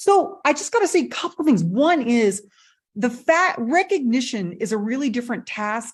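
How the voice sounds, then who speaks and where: With a high pitch, very wide pitch swings and an animated tone, a woman speaks at a moderate pace against a quiet background. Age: 60s. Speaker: MI trainer. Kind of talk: panel discussion.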